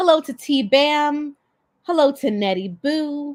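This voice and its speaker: Very slowly, a woman speaks in a dry, close sound with no echo. The recording is very clean, with a silent background. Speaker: lawyer and livestream host. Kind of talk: live stream commentary. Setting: live stream with chat.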